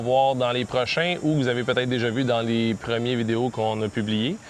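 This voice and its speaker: A man with a Quebec accent at a fairly quick pace, medium in pitch and fairly even in intonation, over noticeable background noise. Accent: Québécois French. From Quebec (Rosemère, near Laval). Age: 40s. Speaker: vlogger, tech support agent. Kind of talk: casual self-introduction vlog. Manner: hesitant, many fillers.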